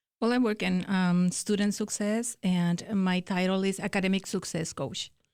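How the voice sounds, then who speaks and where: A woman speaks in a Spanish accent with a medium pitch, fairly even intonation and very even loudness. The recording is very clean, with a silent background. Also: moderate pace. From Mexico. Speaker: academic success coach. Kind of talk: interview. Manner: hesitant, many fillers.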